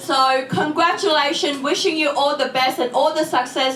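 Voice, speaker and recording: A raised, projected voice carries through audible room echo. Noticeable background noise sits underneath. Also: woman. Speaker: politician. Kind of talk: speech. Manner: loud.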